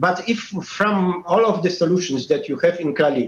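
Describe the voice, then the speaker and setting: A high-pitched man with a Polish accent speaks with ordinary pitch variation. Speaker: conference moderator. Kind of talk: panel moderation. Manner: halting, many fillers.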